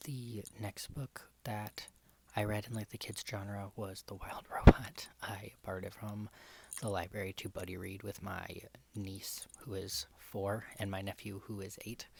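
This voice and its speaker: Soft-spoken whispering at a fairly slow pace. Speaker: book vlogger. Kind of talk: casual chat. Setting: home recording. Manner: whispery ASMR style.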